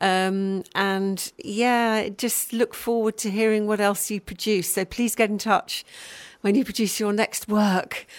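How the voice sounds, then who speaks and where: Fairly slow and with fairly even intonation, a woman speaks in an ordinary speaking voice. Her pitch is fairly high. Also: very clean recording, silent background. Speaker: radio presenter. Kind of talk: radio interview. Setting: radio studio.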